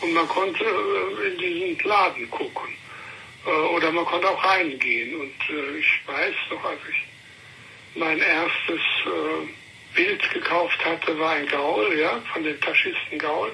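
The speech moves at a very slow pace, broken by long, frequent pauses. Noticeable background noise is present. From Thuringia (Schmalkalden), then Cologne from childhood. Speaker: art collector. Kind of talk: interview. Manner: halting, many fillers.

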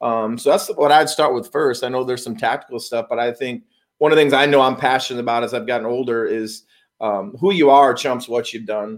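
An unremarkable speaking voice belongs to a man with an American accent, who talks at a fairly quick pace with a medium pitch and ordinary pitch variation on a very clean recording with a silent background. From US Midwest, Chicago area. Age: 40s. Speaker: business consultant in self-help space. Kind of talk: casual interview chat. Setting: in person, Arizona.

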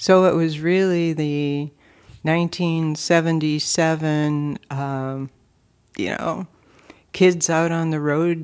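In an Upper Midwest accent, a woman talks at a very slow pace with long, frequent pauses and a very deep, low pitch. Her intonation is monotone and flat, and the recording is very clean with a silent background. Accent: Upper Midwest (Minnesota). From Minnesota, Twin Cities east side. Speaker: state legislator. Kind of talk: casual interview.

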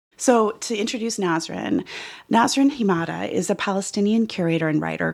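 Her delivery is fairly quick, with vocal fry and lively intonation from this woman. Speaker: podcast co-host. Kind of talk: casual chat. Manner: animated, laughs often.

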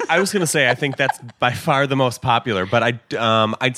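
With a Chicago accent, a man speaks in a bright, sharp tone at a moderate pace, the sound dry and close with no echo. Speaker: dispensary employee. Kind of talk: casual interview chat.

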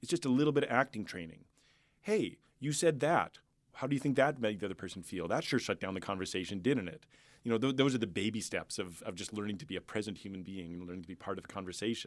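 Over a very clean recording with a silent background, a man with a Canadian accent talks very fast in a fairly low voice, his intonation lively and his loudness swinging widely. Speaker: musician and entrepreneur. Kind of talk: interview conversation.

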